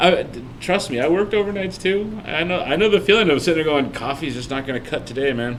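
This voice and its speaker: A man with a fairly high pitch talks at a very fast pace with lively intonation and hardly any pauses. Audible room echo and noticeable background noise accompany him. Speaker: podcast co-host on painting. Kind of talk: casual chat. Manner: loud; animated.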